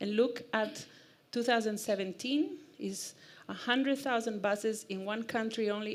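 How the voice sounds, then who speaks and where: A woman talks at a moderate pace with a fairly high pitch and ordinary pitch variation. Room echo is audible. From Costa Rica. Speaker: e-mobility speaker. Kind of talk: conference talk. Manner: animated.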